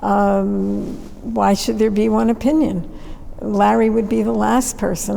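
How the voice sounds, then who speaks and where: A fairly slow pace from a woman, noticeable background noise behind her. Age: 80s+. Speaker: artist and curator. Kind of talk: conversation.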